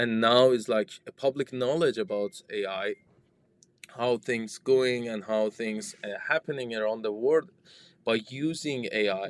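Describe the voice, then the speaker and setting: A medium-pitched man with a non-native accent at a fairly slow pace, ordinary pitch variation, a dry, close sound with no echo, and a very clean recording with a silent background. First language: not English. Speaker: startup founder and software developer. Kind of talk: interview conversation. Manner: halting, with repetitions.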